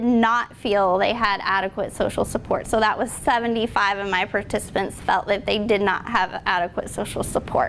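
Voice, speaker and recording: At a moderate pace, a woman speaks with an unremarkable speaking voice and fairly even intonation. Her pitch is fairly high. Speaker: student researcher presenting study, military spouse. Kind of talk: research presentation with Q&A.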